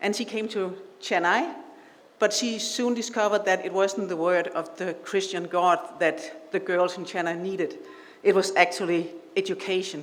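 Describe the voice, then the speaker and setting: A woman speaks with a Danish accent and fairly even intonation. Room echo is audible, and background noise is noticeable. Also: medium pitch for a woman, moderate pace. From Denmark. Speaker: invited speaker at awards ceremony. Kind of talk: speech. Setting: stage with audience. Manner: halting.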